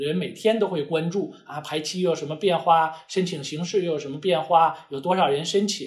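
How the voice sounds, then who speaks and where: Keeping his intonation fairly even, a man talks at a fairly quick pace with hardly any pauses. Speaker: immigration lawyer. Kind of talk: lecture. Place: office.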